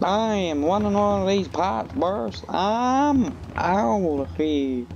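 A man's put-on character voice, fairly high-pitched and very slow, over clear background noise. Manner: exasperated.

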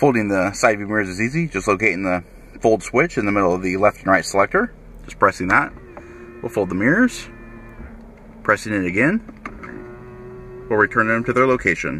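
A man with a plain, everyday voice talks at a fairly quick pace in a fairly low pitch with ordinary pitch variation, the sound dry with no echo and light background noise. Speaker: car salesperson. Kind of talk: vehicle walkaround tutorial. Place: car. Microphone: phone near.

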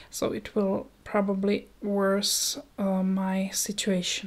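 A woman is speaking softly. Her pace is very slow. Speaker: ASMR creator. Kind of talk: ASMR news reading, soft-spoken. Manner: soft-spoken. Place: home room. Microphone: handheld.

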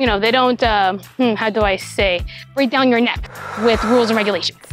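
A woman speaks in a dry sound with no echo. Faint music plays in the background. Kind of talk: property tour commentary. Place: street. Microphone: lapel.

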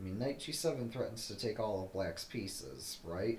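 A man speaks with audible room echo. Light background noise can be heard. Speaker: chess streamer. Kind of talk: commentary.

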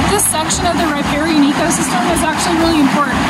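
Loud background noise accompanies a woman as she talks. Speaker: park ranger guide. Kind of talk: educational nature explainer. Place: waterside. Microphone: phone near.

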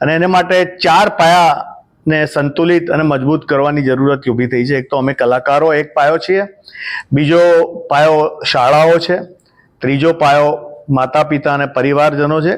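Fairly high-pitched for a man, an ordinary speaking voice with fairly level intonation. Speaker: singer and composer. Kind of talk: interview statement.

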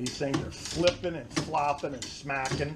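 Loud background noise surrounds a man with an American accent. He talks at a fairly slow pace with ordinary pitch variation. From Florida, Jacksonville. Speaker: fishing charter captain. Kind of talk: casual vlog rant. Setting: outdoors, on a boat, handheld camera. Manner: exasperated, profane and sarcastic, griping aloud while wrestling gear; rambling, conversational, self-interrupting. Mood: annoyed, ranting. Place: garage. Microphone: phone near.

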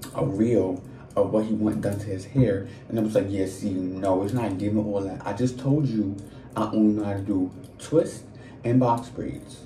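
Over light background noise and audible room echo, a man speaks at a moderate pace with a fairly low pitch and fairly even intonation. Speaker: storyteller. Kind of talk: casual vlog chat. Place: home room. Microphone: phone near.

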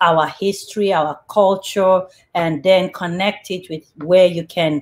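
At a fairly slow pace, a woman talks. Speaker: show host. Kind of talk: talk show introduction. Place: home room. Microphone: webcam.

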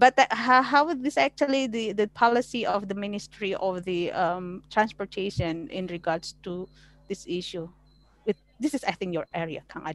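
In a dry recording with no echo, a woman with an Indonesian accent speaks at a moderate pace, her intonation lively and her loudness swinging widely. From Indonesia (West Java). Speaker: law lecturer; webinar moderator. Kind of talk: online class moderation. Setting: video call. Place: home room. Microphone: headset.

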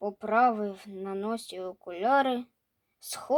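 This is plain reading aloud with ordinary pitch variation over a quiet background.

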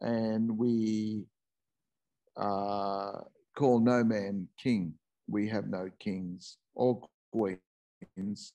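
A very slow pace with long, frequent pauses, a dark, mellow tone, fairly even intonation and an Australian accent, over a quiet background. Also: man, fairly low pitch for a man. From Northern New South Wales, Australia. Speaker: presenter. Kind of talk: talk; lecture. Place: home room. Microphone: video call.

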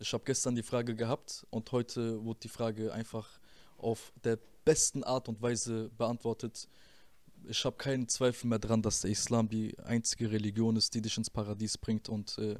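A man speaks in a monotone, flat intonation, keeping a moderate pace. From Germany, Rüsselsheim (Hesse); Hesse, Germany. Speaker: former rapper; interview guest. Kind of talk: interview testimony; interview answer. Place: studio. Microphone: handheld.

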